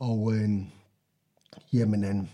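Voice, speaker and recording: Somewhat breathy, a man's voice with a dark, mellow tone comes through a very clean recording with a silent background. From central Jutland, Denmark. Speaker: military nurse. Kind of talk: interview. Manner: halting, repeats words.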